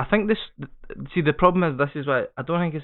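A man speaks with a Scottish accent. His pitch variation is ordinary. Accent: Scottish, noticeable. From Scotland. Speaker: podcast host. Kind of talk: casual banter podcast.

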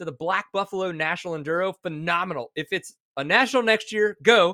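In a fairly quick, animated delivery, a man with a high pitch and ordinary pitch variation projects a raised voice with a bright, sharp tone, recorded very cleanly, dry and close with no echo, against a silent background. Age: 40s. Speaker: dirt bike racer and YouTuber. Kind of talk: casual chat.

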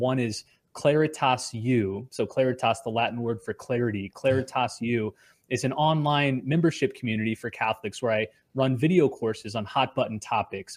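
A man with a normal speaking voice and an American accent speaks at a moderate pace and medium pitch, with fairly even intonation. The recording is very clean, the background silent. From US suburbs. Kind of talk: casual interview.

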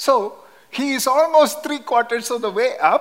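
Speaking at a moderate pace, a man talks in a Kerala accent. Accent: Indian (Kerala) English. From Kerala, southern India. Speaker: missionary Bible teacher. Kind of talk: sermon. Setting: church.

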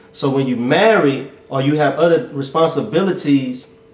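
Noticeable background noise accompanies speech at a fairly slow pace. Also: man. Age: 30s. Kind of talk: casual chat.

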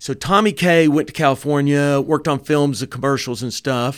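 A Southern US accent with ordinary pitch variation, at a moderate pace. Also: man. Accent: Southern American. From US South, Dalton, Georgia. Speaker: film director and producer. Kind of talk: casual interview chat. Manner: animated.

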